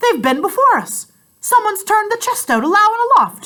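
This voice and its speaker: In a put-on character voice, a woman speaks at an extremely high, squeaky pitch. Her pace is fairly quick. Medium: read story. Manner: rough seafaring dialect.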